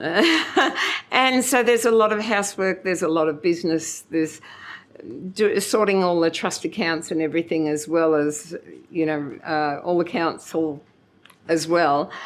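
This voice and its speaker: A woman with an Australian accent speaks at a moderate pace, her fairly low pitch moving with ordinary variation. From Kenilworth, Queensland, Australia. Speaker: former local councillor. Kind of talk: oral history interview answer.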